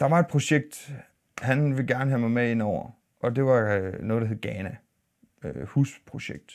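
A man at a fairly slow pace, with ordinary pitch variation and long, frequent pauses, against a quiet background. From Denmark, Aarhus. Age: 40s. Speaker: YouTuber and minibus driver. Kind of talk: casual vlog monologue. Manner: halting, many fillers and repeats. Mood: calm, reflective. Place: studio.

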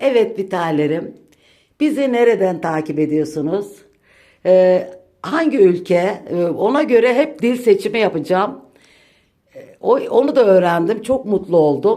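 This woman talks fairly slowly at a medium pitch, with very wide pitch swings. She leaves long, frequent pauses. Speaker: home vlogger. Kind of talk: home tour vlog. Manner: deliberately slow.

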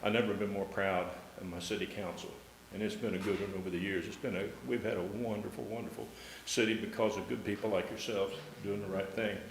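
Amid noticeable background noise and audible room echo, a man with fairly low pitch talks at a very fast pace with fairly even intonation. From Ohio. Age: 70s. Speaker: public commenter at city council. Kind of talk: public comment speech. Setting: city council meeting.

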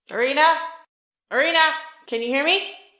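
A put-on character voice, female-sounding, with a high pitch, a very fast pace and slight echo. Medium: actual play.

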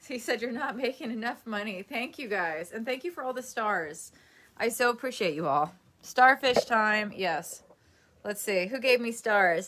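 Her tone is bright and sharp, with lively intonation at a moderate pace. Light background noise sits under the woman's voice. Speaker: livestreamer. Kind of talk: casual livestream chat. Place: home room. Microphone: phone near.

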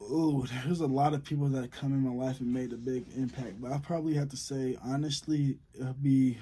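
This man speaks at a fairly quick pace with fairly even intonation and hardly any pauses. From Southern California. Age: young. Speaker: college football player, YouTuber. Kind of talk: casual Q&A vlog. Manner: casual, slangy. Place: home room. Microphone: phone near.

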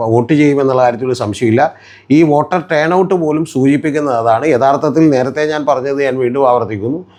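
His pitch sits fairly high and varies in an ordinary way. This man has a normal speaking voice. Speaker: political commentator. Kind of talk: political analysis monologue.

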